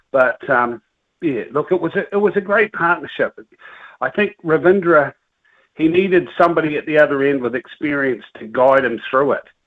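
A man with a New Zealand accent, fairly high pitch, ordinary pitch variation and a moderate pace. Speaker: radio caller, cricket fan. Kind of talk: casual chat. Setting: phone call.

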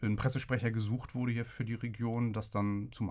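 An unremarkable speaking voice comes from a man talking at a medium pitch and moderate pace, with fairly even intonation. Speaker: agency press spokesman. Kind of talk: interview.

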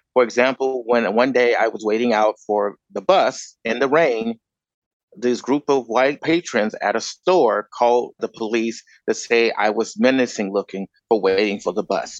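In a normal speaking voice, a man with an American accent talks at a moderate pace and a medium pitch. His pitch varies in an ordinary way, and the sound is dry and close with no echo. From Chicago. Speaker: activist and former teacher. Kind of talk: panel discussion.

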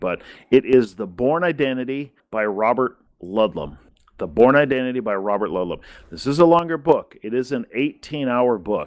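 A man speaks in an unremarkable speaking voice at a medium pitch, with lively intonation. His loudness swings widely, and the background is quiet. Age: 40s. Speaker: podcast host. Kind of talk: casual chat.

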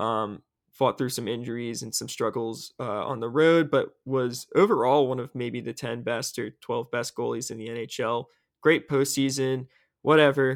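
This man has a plain, everyday voice at medium pitch. His intonation is fairly even and his pace moderate. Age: young. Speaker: hockey podcast host, sports writer. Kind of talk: casual sports chat.

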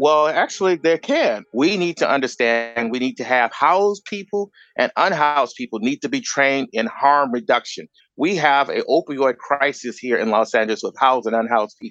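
Against a quiet background, a man with an unremarkable speaking voice and a fairly high pitch speaks at a moderate pace with lively intonation, in a dry, close sound with no echo. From US Midwest, Chicago. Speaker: educator and homelessness advocate. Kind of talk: panel discussion.

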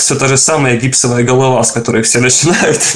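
Through noticeable background noise, a man speaks in a medium pitch at a fairly quick pace. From Ukraine. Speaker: game environment artist. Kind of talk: casual interview. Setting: video call. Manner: halting.

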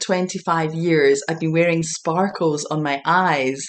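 Here a woman speaks with a Scottish accent at a very slow pace. Her pitch sits fairly low. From Scotland, Glasgow. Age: 40s. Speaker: intuitive healer and empowerment coach. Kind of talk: casual interview chat.

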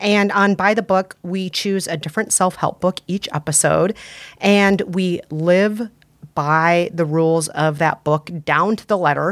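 In a very clean recording with a silent background and a dry, close sound with no echo, a speaker with an American accent talks fairly slowly with fairly even intonation. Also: woman, fairly low pitch for a woman. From Minnesota. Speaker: podcaster and author. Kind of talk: casual chat.

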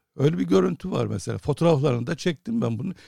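Dry and close with no echo, a man's somewhat breathy voice carries a dark, mellow tone and very wide pitch swings. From Cyprus. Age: 60s. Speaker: photojournalist. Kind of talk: interview.

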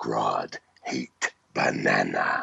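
The voice is a put-on character voice. It comes out growling. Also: man. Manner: menacing.

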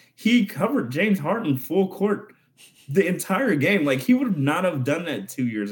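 Using vocal fry and very wide pitch swings, a man speaks with an American accent. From Phoenix, Arizona. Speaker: writer and former comedian. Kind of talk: casual sports chat.

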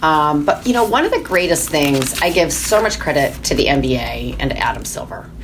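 A woman with an American accent at a moderate pace, hardly any pauses, noticeable background noise and audible room echo. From Michigan. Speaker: sports team executive. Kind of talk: interview.

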